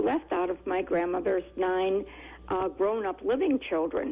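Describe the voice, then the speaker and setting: With noticeable noise in the background, a woman talks at a moderate speed. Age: 80s+. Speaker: caller, family caregiver. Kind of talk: call-in radio conversation. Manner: halting.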